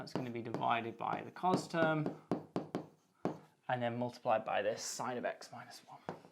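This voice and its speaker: Speaking at a moderate pace with long, frequent pauses, a man comes through over noticeable background noise. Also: medium pitch for a man, ordinary pitch variation, big swings in loudness. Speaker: maths lecturer. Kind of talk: tutorial.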